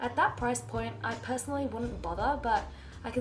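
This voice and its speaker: Noticeable background noise runs through the clip. Over it, a woman speaks fairly quickly. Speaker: travel vlogger. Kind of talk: travel review voiceover.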